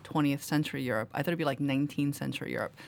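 A woman with a New York accent speaks at very deep, low pitch with ordinary pitch variation. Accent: New York American. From US, Queens New York. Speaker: novelist. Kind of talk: interview. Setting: studio. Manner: formal.

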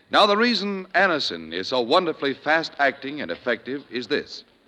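Speaking at a fairly high pitch with very wide pitch swings, a man uses a bright, sharp tone marked by vocal fry. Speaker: radio announcer. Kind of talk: 1950s radio announcing, commercial copy read. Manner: smooth, formal, polished.

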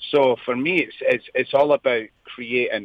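A man with a Scottish accent talks at a moderate speed. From Scotland, Lanarkshire and near Edinburgh. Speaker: singer-songwriter. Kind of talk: interview. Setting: phone call.

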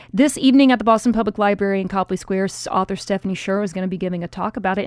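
Dry and close with no echo, a woman speaks with ordinary pitch variation. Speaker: radio host. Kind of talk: news podcast banter.

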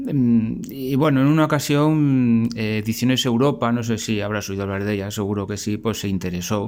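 A man at a moderate pace, medium in pitch, with ordinary pitch variation and hardly any pauses. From Spain. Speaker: artisan and amateur writer. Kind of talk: recorded voice message. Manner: halting, repeats words.

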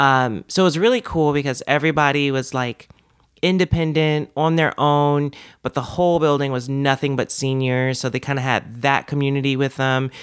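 A man with a fairly high pitch keeps to a moderate pace. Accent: American. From Washington, D.C. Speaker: professional wrestler. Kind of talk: casual chat. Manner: gets loud when excited.

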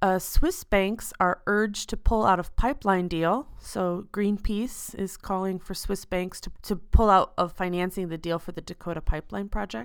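Speaking at a moderate pace, a woman with an American accent uses a medium-pitched voice. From United States. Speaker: podcast host, expat. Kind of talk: solo podcast monologue; reading news headlines.

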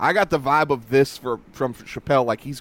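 The sound of this man with a Southern US accent is dry and close, with no echo. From North Carolina. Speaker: podcast co-host. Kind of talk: casual chat.

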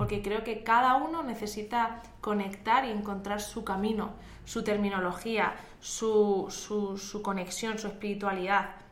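Amid noticeable background noise and audible room echo, a woman speaks fairly slowly at a medium pitch with fairly even intonation. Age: 20s. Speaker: podcast co-host. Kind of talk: casual chat.

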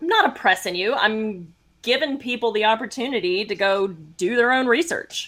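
A woman with an ordinary speaking voice talks at a moderate pace, her fairly high pitch carrying lively intonation. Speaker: podcast host. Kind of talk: casual chat.

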